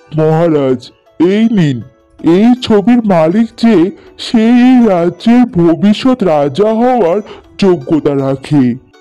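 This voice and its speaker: A cartoonish character voice speaks at a fairly slow pace. Faint music plays in the background. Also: man, high pitch for a man. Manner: calm, respectful.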